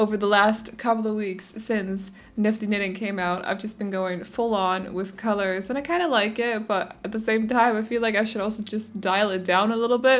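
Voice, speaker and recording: A woman with a Danish accent speaks at a fairly high pitch with fairly even intonation and hardly any pauses. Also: moderate pace. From Denmark. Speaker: gaming YouTuber. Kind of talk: casual gameplay voiceover. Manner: chatty, rambling with fillers.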